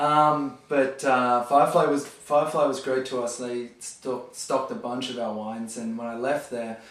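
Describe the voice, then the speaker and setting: Hardly pausing, a man with an Australian accent speaks at a medium pitch with fairly even intonation, amid noticeable background noise and audible room echo. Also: moderate pace. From Australia, near Sydney. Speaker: wine store manager. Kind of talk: casual interview. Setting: garage. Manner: halting with fillers.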